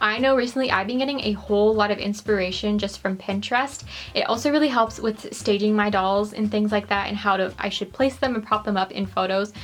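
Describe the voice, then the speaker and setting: Against noticeable background noise, a woman with a Canadian accent and fairly high pitch talks at a very fast pace, with ordinary pitch variation and hardly any pauses. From Canada. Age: 20s. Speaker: doll collector YouTuber. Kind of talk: tutorial; recorded disclaimer. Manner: casual, chatty.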